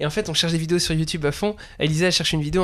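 A man talks at a very fast pace with a fairly high pitch. His intonation is flat and monotone. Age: 20s. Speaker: drum teacher and podcast host. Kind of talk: casual chat.

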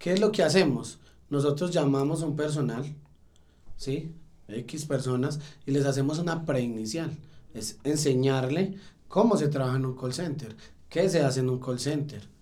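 A man's fairly high, dark, mellow voice at a moderate pace, with audible room echo. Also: long, frequent pauses. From Colombia, Salamina, Caldas. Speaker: call center sales team motivator. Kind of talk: podcast interview.

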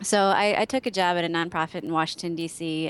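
With an Upper Midwest US accent, a woman speaks at a fairly quick pace in a fairly low pitch and fairly even intonation. The recording is very clean, with a silent background. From Wisconsin. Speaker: social media strategist. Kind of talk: interview.

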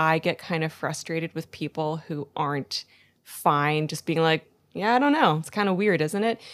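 A woman with a normal speaking voice talks at a moderate pace and a fairly low pitch. The recording is very clean, with a silent background. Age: 20s. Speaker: podcast guest. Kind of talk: casual chat.

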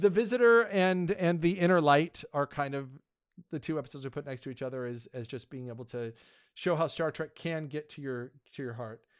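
A man talks at a fairly quick pace with a fairly high pitch, lively intonation and big swings in loudness. The recording is very clean, with a silent background. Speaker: podcast host, guest. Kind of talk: casual chat.

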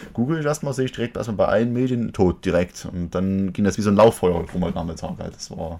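A man talks at a very fast pace with lively intonation. His fairly low voice has a dark, mellow tone. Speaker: podcast and stream host. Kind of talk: casual chat. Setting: live Twitch stream.

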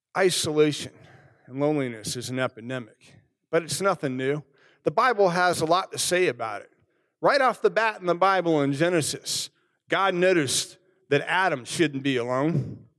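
With an American accent and an ordinary speaking voice, a man with fairly high pitch talks at a moderate pace using lively intonation and big swings in loudness, on a very clean recording with a silent background. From United States, military family. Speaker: Lutheran pastor. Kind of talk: sermon.

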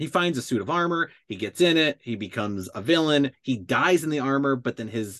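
A man with an ordinary speaking voice talks at a fairly quick pace with lively intonation against a quiet background. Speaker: co-host. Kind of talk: casual chat. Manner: casual, filler-heavy.

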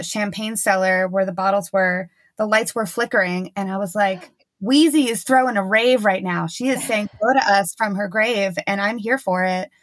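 A woman's plain, everyday voice with an American accent, medium in pitch, at a moderate pace with fairly even intonation, on a very clean recording with a silent background. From New Jersey. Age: 30s. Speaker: sommelier and social media creator. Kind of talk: casual chat.

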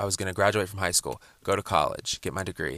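A man's fairly low voice with vocal fry and an American accent, at a fairly quick pace with ordinary pitch variation, in dry, close sound with no echo. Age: 20s. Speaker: podcaster. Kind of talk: casual monologue.

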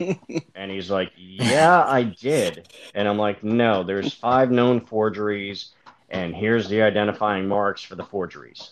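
An unremarkable speaking voice from a man at a fairly slow pace, with ordinary pitch variation. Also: fairly low pitch for a man. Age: 40s. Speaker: toy collector and navy veteran. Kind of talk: casual chat.

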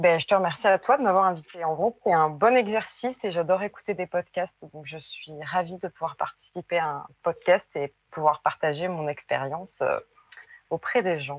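An ordinary speaking voice at a moderate pace, with ordinary pitch variation, big swings in loudness and a dry, close sound with no echo. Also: woman, fairly low pitch for a woman. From southwestern France, Périgueux. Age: 20s. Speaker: former nurse turned seamstress. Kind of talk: interview testimony.

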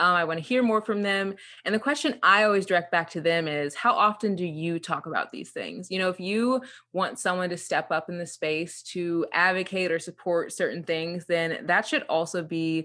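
In a very clean recording with a silent background, a woman talks in a bright, sharp tone with ordinary pitch variation. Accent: American. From central Illinois. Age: 20s. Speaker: influencer. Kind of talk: interview. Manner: animated.

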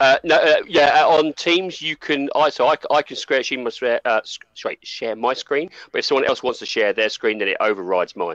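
A man with an ordinary speaking voice talks at a moderate pace, pitched fairly high with lively intonation. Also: dry, close sound with no echo. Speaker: co-host and game reviewer. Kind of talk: casual group chat.

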